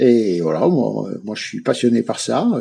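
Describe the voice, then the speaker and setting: A man speaks at a medium pitch with a dark, mellow tone and ordinary pitch variation against a quiet background. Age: 60s. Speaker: classic car club founder. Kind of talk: radio interview. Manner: halting, many hesitations.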